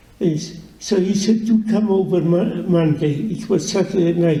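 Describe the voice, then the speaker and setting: Fairly slow and with fairly even intonation, a man speaks in a high voice with a dark, mellow tone, and the room echo is audible. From Poland. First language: Yiddish. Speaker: Holocaust survivor. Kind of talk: testimony. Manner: halting, many repetitions.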